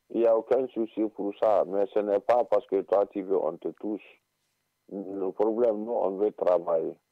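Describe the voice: A man speaks at a moderate pace in a fairly low pitch with fairly even intonation. The sound is dry and close, with no echo.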